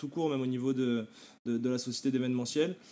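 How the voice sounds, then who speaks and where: A man at medium pitch talks very fast in a dark, mellow tone with monotone, flat intonation. The recording is very clean, with a silent background. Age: 20s. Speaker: e-commerce entrepreneur. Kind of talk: podcast interview.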